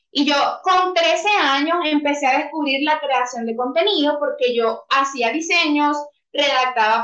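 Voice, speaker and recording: Over background music and audible room echo, a woman with a Venezuelan accent projects a raised, high-pitched voice. She speaks at a fairly slow pace with ordinary pitch variation. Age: 20s. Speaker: copywriter. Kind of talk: interview.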